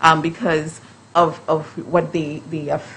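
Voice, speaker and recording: Her voice is very deep and low for a woman, with monotone, flat intonation. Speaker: justice system professional. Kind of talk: panel discussion. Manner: hesitant, many fillers and repeats.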